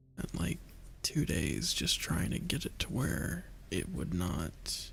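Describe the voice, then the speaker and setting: A man whispers at a very slow pace. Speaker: gamer. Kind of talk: casual chat. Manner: whispering.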